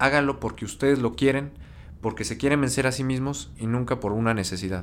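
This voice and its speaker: He has an unremarkable speaking voice pitched in the medium range. The pace is fairly quick, and the pitch varies in an ordinary way. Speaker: podcast host. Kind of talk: casual chat.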